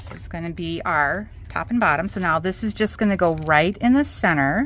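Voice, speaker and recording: A woman with a Minnesotan accent, fairly low pitch, lively intonation, big swings in loudness and a moderate pace. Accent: Minnesota. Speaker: craft tutorial host. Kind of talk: tutorial. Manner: casual, chatty with fillers.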